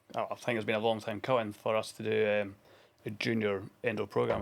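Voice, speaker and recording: A man talks with a Scottish accent. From Scotland, Dundee. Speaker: former international hockey player and coach. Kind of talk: casual interview.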